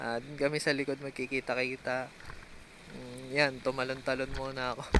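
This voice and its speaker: Flat, monotone intonation comes at a moderate pace over noticeable background noise. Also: man. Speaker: vlogger, BMX rider. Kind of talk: vlog voice-over. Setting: outdoors, riding in traffic. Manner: casual, halting with fillers. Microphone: no mic on camera, voice-over recorded.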